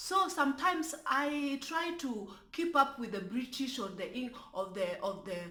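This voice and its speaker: Raised and projected, a woman's high-pitched voice has a bright, sharp tone and very wide pitch swings at a moderate pace. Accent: strong Kenyan. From Kenya (Luo). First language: Luo. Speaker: YouTube commentary vlogger. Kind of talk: casual vlog commentary. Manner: careful full pronunciation; animated, with stammering repetitions.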